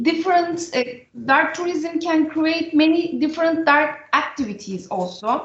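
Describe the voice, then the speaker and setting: With lively intonation and an extremely high pitch, a woman speaks against audible room echo. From Turkey. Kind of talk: panel discussion. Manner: halting.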